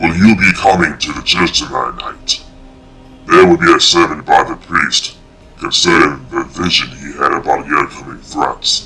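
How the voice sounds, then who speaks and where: Over music in the background, a put-on character voice moves at a moderate pace with big swings in loudness. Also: man, very deep, low pitch for a man. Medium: read story.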